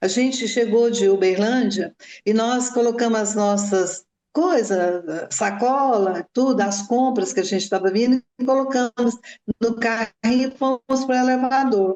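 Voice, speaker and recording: A woman talks at a fairly slow pace with an unremarkable speaking voice. Her pitch is fairly high with ordinary variation, and her loudness stays very even. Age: 60s. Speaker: mother of a crime victim. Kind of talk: interview testimony.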